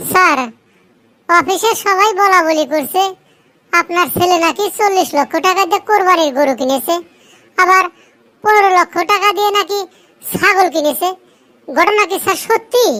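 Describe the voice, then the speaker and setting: This is a cartoonish character voice with an extremely high pitch. It moves at a moderate pace. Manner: deferential, calls the boss sir constantly.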